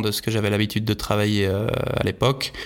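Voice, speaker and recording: Fairly low-pitched man in a monotone, flat intonation, with noticeable background noise. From Switzerland. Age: 30s. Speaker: professional skicross athlete. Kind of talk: interview. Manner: halting, many fillers and repetitions.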